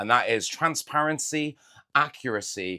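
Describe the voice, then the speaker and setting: A man with a British accent speaks fairly slowly in a bright, sharp tone with lively intonation, recorded very cleanly against a silent background. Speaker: Pokémon card collector YouTuber. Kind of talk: casual unboxing chat.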